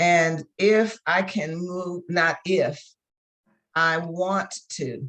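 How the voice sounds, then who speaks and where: Ordinary pitch variation with an American accent. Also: woman. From Virginia, US. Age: 70s. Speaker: coach. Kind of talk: interview.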